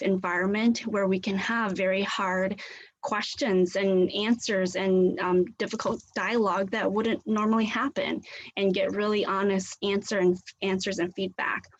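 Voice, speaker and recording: Medium-pitched female voice with a Southeast Asian accent, monotone and flat, at a moderate pace. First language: Hmong. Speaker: community leader. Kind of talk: guest presentation in a class.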